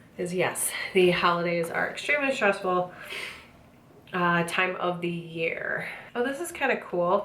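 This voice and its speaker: A woman talks at a medium pitch and moderate pace. Audible room echo surrounds her voice. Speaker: book subscription box reviewer. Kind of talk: unboxing review. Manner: casual, hesitant fillers.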